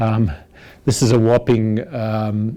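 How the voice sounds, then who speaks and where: At a moderate pace, a man talks with a medium pitch and a dark, mellow tone. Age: 60s. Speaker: photography youtuber. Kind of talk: casual vlog talk to camera. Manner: halting, many fillers and restarts.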